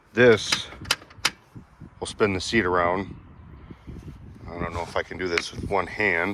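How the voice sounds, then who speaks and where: Amid noticeable background noise, a man with a very deep, low pitch speaks at a fairly slow pace with long, frequent pauses, fairly even intonation and big swings in loudness. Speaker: tractor owner and reviewer. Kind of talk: product walkaround review. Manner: monotone; casual.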